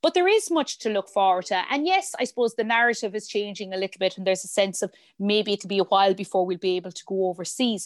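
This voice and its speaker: Talking at a very fast pace with hardly any pauses, a woman with a medium pitch comes through a dry, close sound with no echo over a quiet background. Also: ordinary pitch variation. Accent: Irish. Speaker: hotel director and industry body president. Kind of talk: casual interview.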